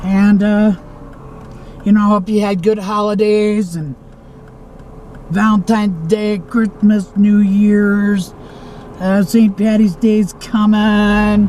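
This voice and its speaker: The speech moves at a very slow pace with long, frequent pauses and noticeable background noise. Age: 60s. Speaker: travel vlogger. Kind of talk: casual vlog monologue. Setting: in a car.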